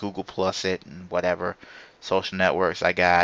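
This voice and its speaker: Very deep and low in pitch, a man's voice comes through in a bright, sharp tone with monotone, flat intonation and a dry, close sound with no echo. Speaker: gaming podcast host. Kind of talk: solo podcast monologue. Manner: stammering, halting; casual, rambling.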